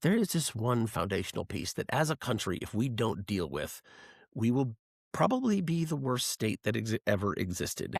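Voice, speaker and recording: A man speaks in an animated tone with vocal fry and very wide pitch swings. The sound is dry and close, with no echo. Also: medium pitch for a man, moderate pace, very clean recording, silent background. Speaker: podcast host. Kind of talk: casual political discussion. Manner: loud.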